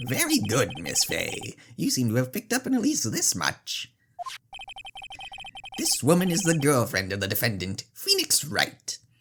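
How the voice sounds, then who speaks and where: A man puts on a character voice and keeps it at a moderate pace. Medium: game stream. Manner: smug, patronizing.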